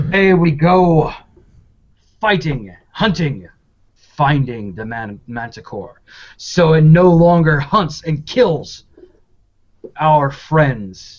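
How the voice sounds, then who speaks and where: Using a put-on character voice, a man speaks very slowly at a fairly high pitch, with lively intonation, long, frequent pauses and big swings in loudness. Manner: loud, announcing.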